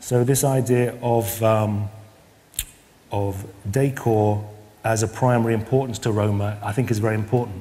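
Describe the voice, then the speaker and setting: A man with a British accent at a moderate pace, with monotone, flat intonation and long, frequent pauses. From UK. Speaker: Roma artist and researcher. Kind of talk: lecture. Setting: stage with audience. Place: stage.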